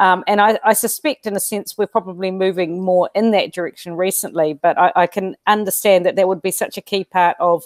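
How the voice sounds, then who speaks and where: Against a quiet background, a woman with a New Zealand accent speaks at a fairly quick pace with hardly any pauses. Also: medium pitch for a woman, fairly even intonation, dry sound with no echo. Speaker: school educator and interview host; interviewer, host. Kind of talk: interview. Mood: thoughtful, optimistic. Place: home room. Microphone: earbuds.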